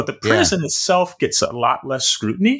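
A quiet background lies behind the speaker. The delivery keeps a moderate pace. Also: man. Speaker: philosophy professor guest. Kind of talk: interview answer. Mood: thoughtful, calm. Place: home room.

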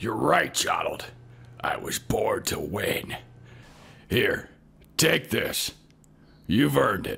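A man whispering in a put-on character voice, at a very slow pace with long, frequent pauses. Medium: comedy sketch. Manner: jovial, patronizing.

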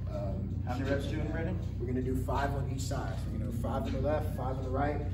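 Music runs underneath the voice. A man speaks fairly quickly. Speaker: fitness coach. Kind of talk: tutorial. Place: gym. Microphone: camera far.

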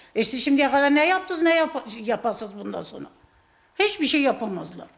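Lively intonation marks this voice. It belongs to a woman. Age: 70s. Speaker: pensioner's wife interviewed on the street; interviewee. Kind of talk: street interview. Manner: animated. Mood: passionate, indignant about politics. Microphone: handheld.

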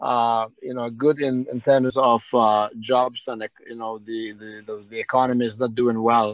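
A man talks at a fairly slow pace. His intonation is flat and monotone against a quiet background. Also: medium pitch for a man, dry sound with no echo. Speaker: community leader. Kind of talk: Q&A session. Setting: video call. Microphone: video call.

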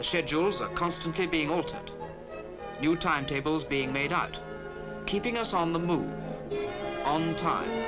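A man speaks at a moderate pace with ordinary pitch variation and long, frequent pauses, with clear music in the background. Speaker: documentary narrator. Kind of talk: documentary narration. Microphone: old recording.

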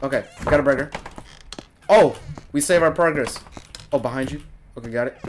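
A man shouts in an animated tone at a fairly quick pace, with big swings in loudness and ordinary pitch variation. Long, frequent pauses break up his speech over light background noise. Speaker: gaming youtuber. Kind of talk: casual gameplay commentary. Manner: animated, reacting with shouts. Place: home room.

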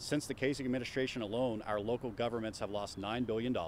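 A man with an American accent and a plain, everyday voice speaks at a fairly quick pace and medium pitch with ordinary pitch variation, the sound dry with no echo over light background noise. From Ohio. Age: 40s. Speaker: political candidate. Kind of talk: candidate interview. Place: garden.

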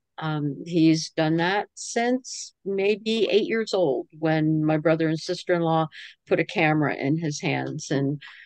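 The voice comes at a fairly slow pace, dry with no echo, over a quiet background. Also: woman. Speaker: interviewee, teacher. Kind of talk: interview answer. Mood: proud, warm. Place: home room. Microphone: video call.

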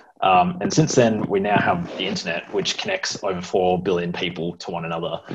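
This man has a very deep, low voice and an Australian accent, talking at a fairly quick pace with fairly even intonation. Noticeable background noise runs under the recording. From Sydney and NSW south coast. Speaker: computer science student. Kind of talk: presentation. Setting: video call. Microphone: earbuds.

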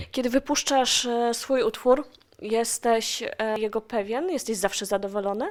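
The speaker has a plain, everyday voice, with ordinary pitch variation and a moderate pace. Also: woman, fairly high pitch for a woman. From Silesia, Poland. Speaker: radio host. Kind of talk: radio interview.

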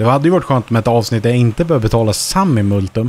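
Speaking at a very fast pace, a medium-pitched man sounds animated, his intonation lively, in a dry sound with no echo. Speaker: gaming YouTuber. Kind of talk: let's play commentary. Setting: home studio.

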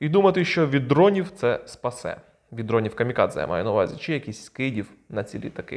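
Against a quiet background, a man with a fairly high voice talks at a fairly quick pace, his pitch swinging very widely. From Ukraine. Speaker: video blogger. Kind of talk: casual commentary on videos. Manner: informal, sarcastic. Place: home room. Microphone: lapel.

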